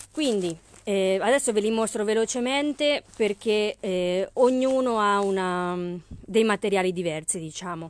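The speaker talks at a fairly slow pace with an upbeat tone and lively intonation. The sound is dry, with no echo. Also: woman. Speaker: craft shop owner selling haberdashery products online. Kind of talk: live-stream sales pitch; street-seller-style pitchman patter, rattling off kit prices and discounts. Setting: live video stream. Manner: upbeat, brisk, persuasive, pushing the bargain with price comparisons; chatty and friendly, greeting viewers by name. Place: shop. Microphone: phone near.

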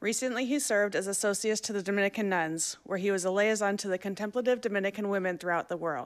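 Against a quiet background, a woman speaks at a very fast pace with ordinary pitch variation. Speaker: event moderator. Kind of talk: formal introduction and Q&A moderation. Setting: stage with audience, live-streamed. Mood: warm, welcoming. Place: hall. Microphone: podium.

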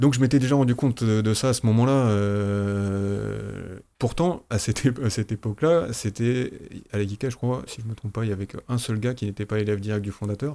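At a moderate pace, a man speaks in a dark, mellow tone at a fairly low pitch, with ordinary pitch variation. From France. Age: 40s. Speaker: aikido teacher. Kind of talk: casual chat. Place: studio. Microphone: studio mic.

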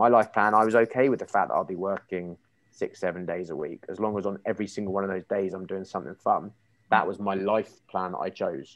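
A man talks at a very fast pace. His fairly low voice keeps a fairly even intonation. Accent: English. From England. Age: 30s. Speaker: marketing agency founder; podcast guest. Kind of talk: interview. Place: kitchen. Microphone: earbuds.

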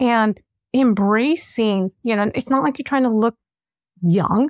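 Fairly slow, enthusiastic speech with lively intonation, recorded dry with no echo against a quiet background. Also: woman. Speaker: podcast host. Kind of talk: interview. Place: home room. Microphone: studio mic.

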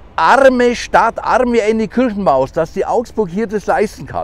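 A man speaks in a high pitch at a fairly slow pace. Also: dry sound with no echo. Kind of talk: political rant vlog. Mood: indignant, agitated. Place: street. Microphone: lapel.

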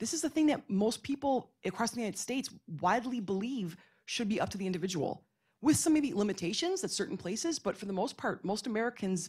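Against a quiet background, a somewhat breathy woman speaks very fast, her pitch swinging very widely. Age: 40s. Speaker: professor. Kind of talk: panel discussion. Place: hall. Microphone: podium.

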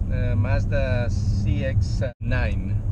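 Loud background noise around a dry sound with no echo. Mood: cheerful, joking. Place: car.

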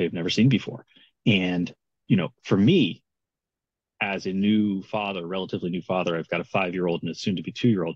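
A man's very deep, low voice shows ordinary pitch variation, with a dry sound that has no echo and a quiet background. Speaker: guest. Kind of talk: interview answer. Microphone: video call.

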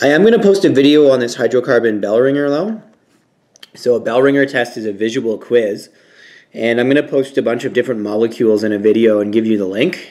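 The background is hushed. A man's speech races at a very fast pace, his pitch varying in an ordinary way. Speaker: science teacher. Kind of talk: lecture. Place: home room. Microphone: phone near.

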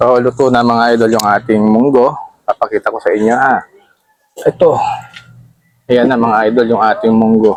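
A man talks at a medium pitch in a monotone, flat intonation. He leaves long, frequent pauses. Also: fairly quick pace. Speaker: cooking vlogger. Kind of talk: cooking tutorial. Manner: casual, chatty.

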